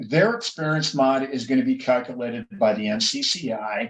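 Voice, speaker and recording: A man with a Minnesotan accent speaks with very wide pitch swings. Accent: Minnesota. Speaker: insurance agent. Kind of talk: explanatory interview.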